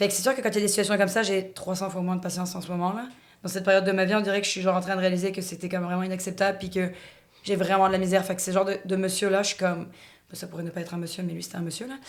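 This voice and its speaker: A woman's medium-pitched voice, very fast in pace and monotone, flat in intonation. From France. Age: 30s. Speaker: podcast guest. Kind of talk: casual chat.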